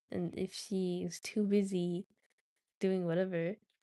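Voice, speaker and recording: The sound is dry and close, without any echo. A woman talks in a dark, mellow tone. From India. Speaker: study livestreamer, math student. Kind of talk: casual livestream chat while studying. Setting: livestream. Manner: stutters sometimes.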